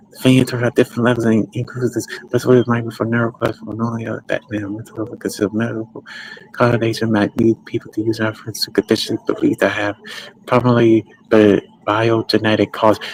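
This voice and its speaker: A dry, close sound with no echo, fairly quick pace and monotone, flat intonation, over noticeable background noise. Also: man. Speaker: streamer / commentator. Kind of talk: livestream monologue.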